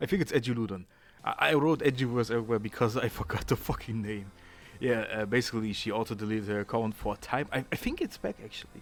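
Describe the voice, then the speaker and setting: Delivered very fast with a strong German accent, the speech shows ordinary pitch variation. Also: man, medium pitch for a man. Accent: thick German. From Germany. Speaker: YouTuber. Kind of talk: casual commentary video. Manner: halting, many fillers and repeats.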